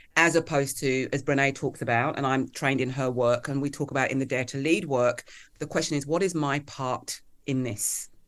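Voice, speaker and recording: A woman's very deep, low voice in a southern English accent, fairly quick and fairly even in intonation, against a quiet background. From England (Kent, Hertfordshire). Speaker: author and leadership coach. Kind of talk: interview conversation.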